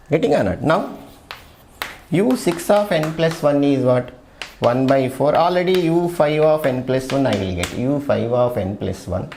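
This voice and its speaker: Lively in intonation, a man speaks at a moderate pace and fairly high pitch. Audible room echo and noticeable background noise surround him. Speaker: maths lecturer. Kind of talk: lecture.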